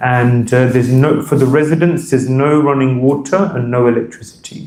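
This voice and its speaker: Speaking at a moderate pace with fairly even intonation, a man with a London accent is heard over noticeable background noise and audible room echo. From London, England. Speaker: monk and spiritual teacher. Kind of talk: lecture to temple audience. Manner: hesitant, many fillers.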